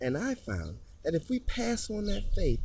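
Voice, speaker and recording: A man with an American accent, audible room echo around his voice. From Detroit, Michigan. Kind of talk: religious podcast monologue. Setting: recording on location near a chapel.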